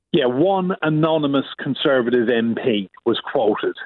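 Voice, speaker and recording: The speaker talks with an Irish accent. The pitch varies in an ordinary way. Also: man. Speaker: UK correspondent. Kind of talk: casual news chat. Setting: phone call.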